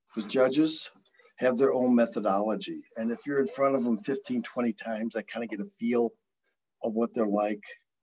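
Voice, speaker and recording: A man with medium pitch and ordinary pitch variation speaks at a moderate pace in a normal speaking voice. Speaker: presenter. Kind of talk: presentation. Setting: video call. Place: office. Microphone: video call.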